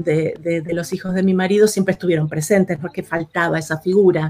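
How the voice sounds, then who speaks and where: A woman with a fairly low pitch and fairly even intonation. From Argentina, Buenos Aires outskirts. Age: 50s. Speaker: actress and designer. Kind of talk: interview. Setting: live recorded vodcast. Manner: hesitant, many fillers.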